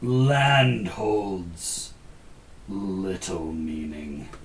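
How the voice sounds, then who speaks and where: A man uses a put-on character voice with a very deep, low pitch and very wide pitch swings. Clear background noise is present. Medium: actual play. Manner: terse, clipped, imperious.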